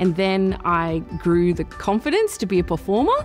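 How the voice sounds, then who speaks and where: Faint music plays in the background as a woman with an Australian accent speaks at a moderate pace. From Perth, Western Australia. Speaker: spoken word poet and performer. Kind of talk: interview answer. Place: hall.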